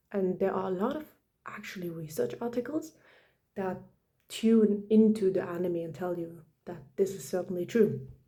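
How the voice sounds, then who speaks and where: A woman whispers in a somewhat breathy way at a moderate pace, her loudness swinging widely and her speech broken by long, frequent pauses. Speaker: video essayist. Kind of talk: casual commentary. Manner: whispering; hesitant, many fillers.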